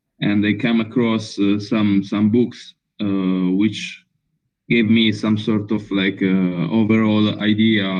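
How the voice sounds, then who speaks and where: A man with an Italian accent speaks very slowly in a fairly low, monotone voice with flat intonation. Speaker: filmmaker. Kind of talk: interview. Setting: video call. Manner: halting.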